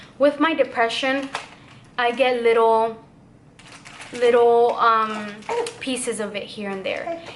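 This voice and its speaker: A woman speaks at a very slow pace with a high pitch, ordinary pitch variation, big swings in loudness and long, frequent pauses. Noticeable background noise and audible room echo fill the recording. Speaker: vlogger, new mother. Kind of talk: emotional personal vlog.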